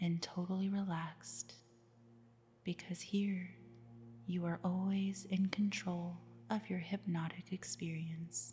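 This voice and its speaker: Music plays behind a woman speaking at a very slow pace with long, frequent pauses. Her voice is fairly low, with ordinary pitch variation. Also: very even loudness. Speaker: hypnosis sleep-story narrator. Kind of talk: hypnosis sleep story narration. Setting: with background music. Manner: soft, slow, soothing.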